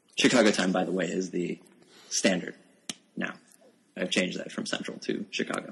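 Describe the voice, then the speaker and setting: Very deep and low, a man's voice with vocal fry and an American accent moves at a fairly quick pace, with ordinary pitch variation and long, frequent pauses. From rural Pennsylvania, US. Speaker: author and software developer. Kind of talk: casual interview chat.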